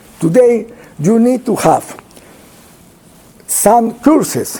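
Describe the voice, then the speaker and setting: Amid noticeable background noise, a man with a Spanish accent talks with lively intonation. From Peru. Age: 70s. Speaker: pulmonologist. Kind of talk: lecture. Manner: halting.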